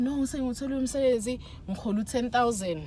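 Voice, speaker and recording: Fairly quick speech from a woman, pitched fairly high. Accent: South African. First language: Zulu. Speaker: vlogger. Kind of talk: casual chat. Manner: code-switching English and Zulu.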